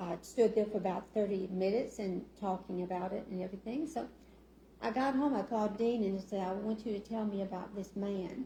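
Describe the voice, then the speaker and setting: Soft-spoken and somewhat breathy, a woman with an Arkansas accent talks at a moderate pace in a dark, mellow tone, at a medium pitch with fairly even intonation. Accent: Southern US (Arkansas). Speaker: city council member. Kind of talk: casual talk at community meeting. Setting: meeting room with audience. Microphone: sound issues, too quiet.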